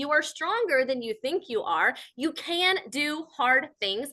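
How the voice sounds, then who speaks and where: The voice is raised and projected, bright and sharp in tone, animated, and full of very wide pitch swings. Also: woman. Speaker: business coach and speaker. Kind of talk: live webinar presentation. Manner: fast.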